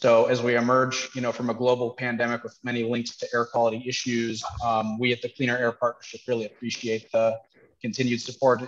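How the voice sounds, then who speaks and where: A man is talking here. His pace is fairly quick. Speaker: event host. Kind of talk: webinar host welcome remarks. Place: cafe. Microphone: headset.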